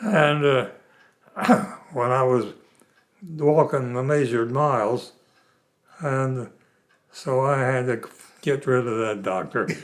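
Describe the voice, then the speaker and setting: At a very slow pace with long, frequent pauses, a man with an American accent speaks in a medium pitch with ordinary pitch variation. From West Virginia. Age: 90s. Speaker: centenarian interviewee. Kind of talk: casual interview. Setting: at home.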